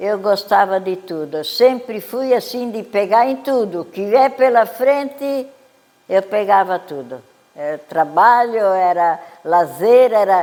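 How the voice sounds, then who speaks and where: A woman at a very slow pace, medium in pitch, with lively intonation and big swings in loudness. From southern Brazil, Santa Catarina (Urussanga). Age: 90s. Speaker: elderly local resident. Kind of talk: life story interview.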